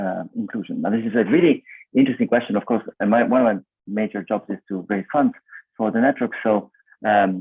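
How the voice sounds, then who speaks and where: A man speaks at a fairly quick pace with an Italian accent. His pitch is medium with ordinary variation. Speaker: event moderator. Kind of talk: online panel discussion.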